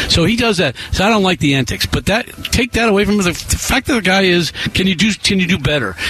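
With an American accent, a man talks at a very fast pace in a high pitch, with lively intonation, very even loudness and hardly any pauses over noticeable background noise. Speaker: sports broadcaster. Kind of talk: sports talk radio. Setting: radio studio.

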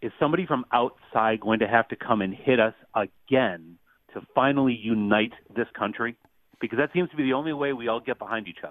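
In an ordinary speaking voice with an American accent, a man talks at a fairly quick pace. His pitch is medium, with ordinary variation. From Western New York. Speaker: caller. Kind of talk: radio call-in. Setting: phone call.

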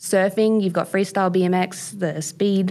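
With an Australian accent, a woman talks at a moderate pace in a fairly low pitch. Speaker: BMX and mountain bike athlete. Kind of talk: interview.

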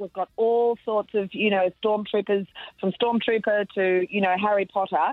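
In an Australian accent, a woman speaks at a moderate pace and medium pitch. Her tone is enthusiastic. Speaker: PR and events guide. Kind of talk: casual radio chat.

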